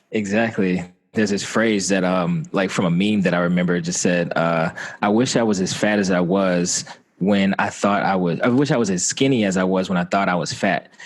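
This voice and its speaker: A man with a slight Southern US accent speaks in a very deep, low pitch with fairly even intonation. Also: fairly quick pace, very even loudness. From Atlanta, Georgia, US South. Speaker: Air Force veteran. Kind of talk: interview. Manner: halting, many fillers.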